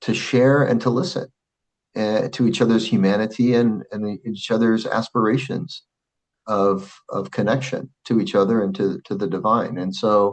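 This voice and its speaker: A man with an American accent speaks at a moderate pace, his medium pitch showing ordinary variation. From Arizona, US (Phoenix). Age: 50s. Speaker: Islamic scholar and school president. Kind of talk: casual interview chat.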